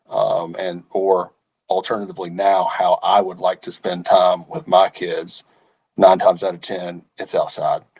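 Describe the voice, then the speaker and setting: With a Southern US accent, a man speaks at a fairly slow pace, his loudness swinging widely. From Arkansas. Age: 30s. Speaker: company executive. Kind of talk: interview. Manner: halting, many repeated words.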